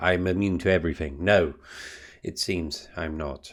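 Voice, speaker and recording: On a very clean recording with a silent background, a man with a British accent and a very deep, low pitch speaks at a fairly slow pace. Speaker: booktuber and painter. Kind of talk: casual vlog chat.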